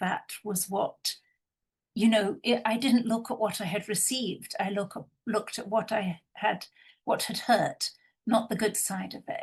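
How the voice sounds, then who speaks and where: At a fairly slow pace, a woman speaks with a fairly high, somewhat breathy voice and ordinary pitch variation. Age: 60s. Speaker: intimacy professional. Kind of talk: panel discussion.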